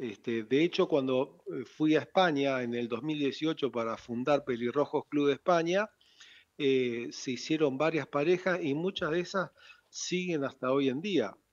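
A man's fairly slow speech in a plain, everyday voice, fairly high in pitch with ordinary pitch variation. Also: quiet background. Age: 60s. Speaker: founder of a redhead club. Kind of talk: radio interview.

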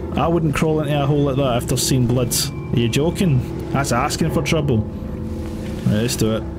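Loud background noise runs under a man with a Scottish accent. He keeps a moderate pace and very even loudness. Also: ordinary pitch variation, hardly any pauses. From Scotland. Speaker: gaming streamer. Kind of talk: let's play commentary. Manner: casual, humorous. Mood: amused, joking. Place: home room.

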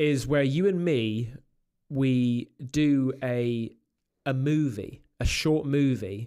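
Very slowly, a man with a dark, mellow tone speaks at very even loudness, his pitch varying in an ordinary way over a quiet background. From England. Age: 40s. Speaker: YouTube paranormal creator. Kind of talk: casual chat. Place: studio. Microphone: studio mic.

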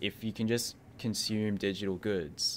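On a very clean recording with a silent background, a man with an Australian accent speaks with fairly even intonation. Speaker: podcast host / interviewer. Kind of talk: casual interview chat.

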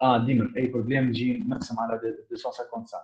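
A somewhat breathy male voice over a quiet background. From Tunisia. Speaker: student giving a technical talk; presenter. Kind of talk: lecture. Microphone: video call.

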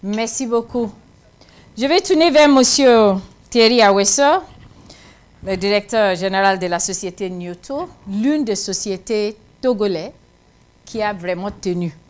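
A woman's medium-pitched voice at a fairly slow pace, with ordinary pitch variation.

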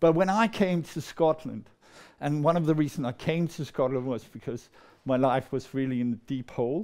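A man's fairly high voice with a Danish accent, over a quiet background. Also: ordinary pitch variation, moderate pace. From Denmark, near Copenhagen. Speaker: storyteller. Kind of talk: storytelling performance. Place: meeting room. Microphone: lapel.

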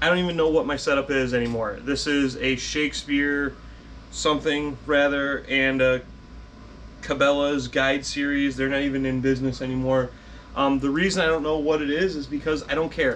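Light background noise sits behind a man speaking at a moderate pace with monotone, flat intonation. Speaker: fishing channel host, teacher. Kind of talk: casual vlog chat. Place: garage. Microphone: phone near.

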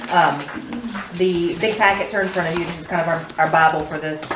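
The speech comes at a fairly quick pace over loud background noise. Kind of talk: meeting presentation. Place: meeting room.

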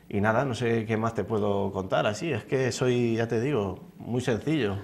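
Here a man talks in a fairly low pitch. His pace is fairly slow, with ordinary pitch variation. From Spain, Hellín (Albacete province); Spain. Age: 20s. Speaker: fitness instructor, beauty pageant contestant; fitness instructor. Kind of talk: TV interview. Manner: halting, many repetitions and fillers. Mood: modest, calm, slightly nervous. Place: studio. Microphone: lapel.

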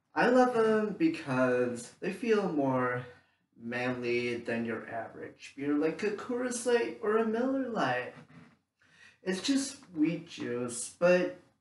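Audible room echo surrounds a man's voice. He speaks at a very slow pace, his pitch swinging very widely. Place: home room. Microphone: camera far.

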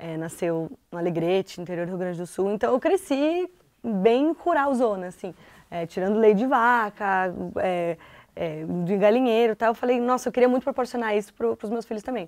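Against a quiet background, the speaker uses lively intonation at a moderate pace. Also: woman, fairly high pitch for a woman. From southern Brazil, Porto Alegre. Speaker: TV presenter. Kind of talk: casual chat. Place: studio.

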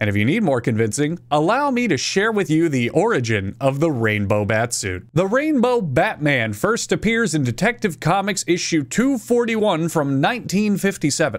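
A man's voice swings very widely in pitch at a moderate pace, the background quiet. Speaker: video commentator. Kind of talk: commentary. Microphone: studio mic.

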